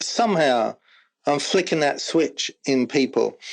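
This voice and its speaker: A man speaks with an English accent over a quiet background. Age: 60s. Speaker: former rock drummer and corporate team-building speaker. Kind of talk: casual interview chat.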